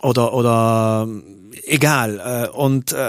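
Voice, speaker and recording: Noticeable noise sits behind the voice. It is a man who speaks. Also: dry, close sound with no echo. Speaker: radio and TV presenter and musician. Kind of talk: casual interview.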